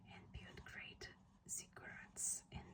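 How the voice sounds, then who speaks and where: Whispering at a very slow pace. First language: not English. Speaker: ASMR creator. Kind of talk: whispered book reading. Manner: whispered, soft.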